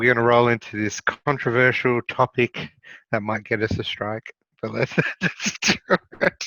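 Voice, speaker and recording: A man with an Australian accent, moderate pace and fairly even intonation. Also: medium pitch for a man. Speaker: podcast co-host. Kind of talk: casual chat.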